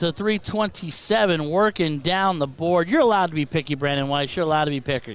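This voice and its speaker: Loud speech comes at a fairly quick pace. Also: man. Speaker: darts commentator. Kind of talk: live commentary. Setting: live stream with headset. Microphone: too quiet for viewers at first, then turned up.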